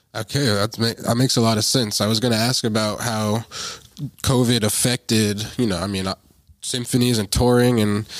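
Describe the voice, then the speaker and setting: Here a man speaks at a moderate pace. His intonation is monotone and flat. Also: very clean recording, silent background. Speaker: podcast interviewer. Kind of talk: casual interview.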